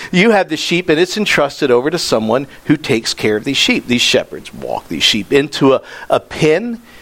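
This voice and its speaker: In an animated tone, a man speaks at a fairly quick pace. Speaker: pastor. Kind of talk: sermon.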